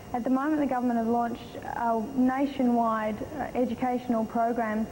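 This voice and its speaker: Noticeable background noise surrounds a woman speaking in an Australian accent at a moderate pace. Her voice is high, with monotone, flat intonation. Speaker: beauty pageant contestant. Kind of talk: interview.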